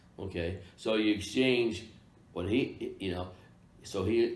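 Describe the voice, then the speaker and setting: The man has an American accent and ordinary pitch variation. Room echo is audible. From Kansas. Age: 70s. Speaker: real estate broker. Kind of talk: interview. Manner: halting, many fillers.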